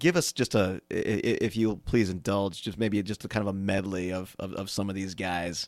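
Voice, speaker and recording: A man's plain, everyday voice at a fairly low pitch, moderate pace and fairly even intonation, with hardly any pauses, in a very clean recording with a silent background. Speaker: podcast host. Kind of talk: casual interview.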